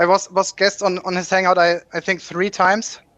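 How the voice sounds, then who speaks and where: Dry and close with no echo, the recording has a man with a slight German accent talking at a moderate pace, his bright, sharp tone set at a high pitch. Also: quiet background. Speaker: YouTuber hosting a science discussion. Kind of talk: casual chat.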